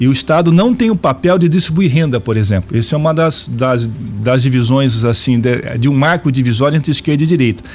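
An unremarkable speaking voice with lively intonation, very even loudness, and a fairly quick pace. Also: man, medium pitch for a man. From Brazil, Araraquara (São Paulo state). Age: 50s. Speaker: politician and university professor. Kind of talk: radio interview.

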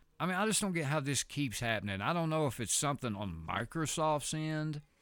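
A man speaks with lively, animated intonation. The recording is very clean, with a silent background. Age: 30s. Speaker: podcast host. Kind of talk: casual podcast monologue.

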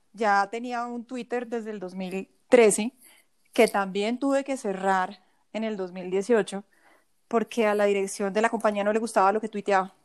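In a very clean recording with a silent background and a dry, close sound with no echo, a woman with a fairly high pitch uses an ordinary speaking voice, fairly even intonation and a fairly slow pace. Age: 40s. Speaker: personal finance coach and former investment advisor. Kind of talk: interview conversation.

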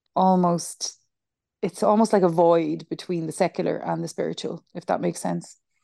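With an Irish accent, a woman speaks at a fairly low pitch and moderate pace in a dark, mellow tone. Her intonation is fairly even, and the sound is dry and close with no echo. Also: quiet background. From Ireland. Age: 30s. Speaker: high school teacher and yoga nidra guide. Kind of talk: casual chat. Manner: halting.

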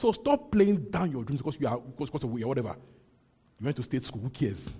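A man's medium-pitched voice, dark and mellow and somewhat breathy, with lively intonation, a very fast pace and long, frequent pauses. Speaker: preacher. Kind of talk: sermon. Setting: church. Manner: fast talker.

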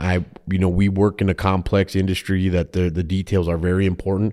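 A man with a Minnesotan accent speaks at a fairly quick pace. His pitch is very deep and low, in a very clean recording with a silent background. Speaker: insurance agent. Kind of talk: casual interview chat. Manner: laughs often, easygoing.

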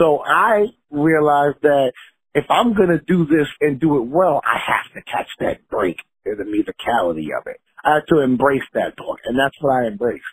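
A confident, somewhat breathy voice with an American accent moves at a moderate pace with lively intonation. The sound is dry and close, with no echo. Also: man, fairly high pitch for a man. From Long Island, New York. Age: 30s. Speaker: rapper. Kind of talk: interview. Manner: confident, motivational.

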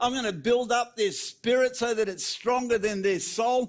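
At a moderate pace, a man speaks with an extremely high pitch and fairly even intonation. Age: 60s. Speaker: preacher. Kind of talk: sermon. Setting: church.

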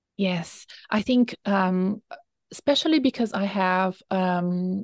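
A woman at medium pitch with a Portuguese accent, a dry, close sound with no echo, and a quiet background. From Brazil. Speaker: career coach. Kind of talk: interview.

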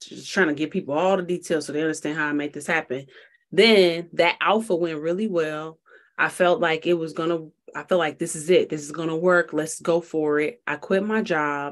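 Over a quiet background, a woman with an American accent speaks in a normal speaking voice. Her pitch is fairly low, her intonation fairly even, and her pace fairly quick. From Chicago. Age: 30s. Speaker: tech startup founder and CEO. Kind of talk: podcast interview.

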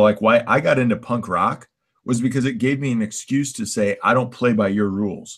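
This is a plain, everyday voice at a fairly quick pace. The recording is very clean with a silent background. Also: man. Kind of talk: casual chat.

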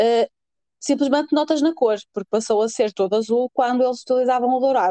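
A woman speaks at a high pitch and a fairly quick pace. Her tone is dark and mellow, and the sound is dry and close with no echo. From northern Portugal. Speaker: podcast co-host. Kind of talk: casual chat.

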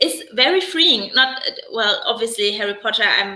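With a German accent, a woman talks at a fairly high pitch. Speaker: stay-at-home mom and new YouTuber. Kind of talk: casual live chat interview. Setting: live stream.

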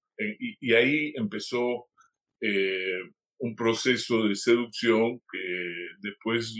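A man's voice at a very slow pace. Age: 70s. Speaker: film director. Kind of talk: interview.

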